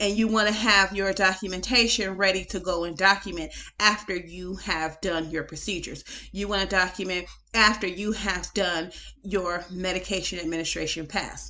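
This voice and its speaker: A woman's bright, sharp voice at medium pitch comes out in a monotone, flat intonation with vocal fry. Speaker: nurse educator. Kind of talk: case study commentary. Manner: fast.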